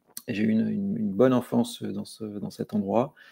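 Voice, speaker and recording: Here a man is speaking. His pace is moderate. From Corsica (Bastia), France. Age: 40s. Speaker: crypto security consultant. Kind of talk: podcast interview. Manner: hesitant, many fillers and repetitions.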